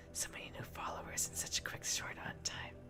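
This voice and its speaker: Someone is whispering at a moderate pace over noticeable background noise. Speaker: streamer. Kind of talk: ASMR livestream chat. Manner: stumbles over words.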